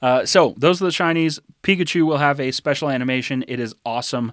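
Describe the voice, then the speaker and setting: On a very clean recording with a silent background and a dry, close sound without echo, a man speaks at a fairly quick pace with lively intonation. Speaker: podcast co-host. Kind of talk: casual chat. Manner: not fast-talking, moderate pace.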